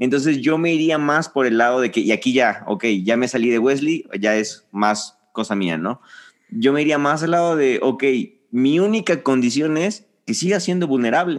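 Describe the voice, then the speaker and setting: A man with an unremarkable speaking voice talks at a moderate pace in a fairly high pitch, his intonation lively. His loudness stays very even against a quiet background. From Mexico, Reynosa, Tamaulipas. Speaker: church leader. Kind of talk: casual chat.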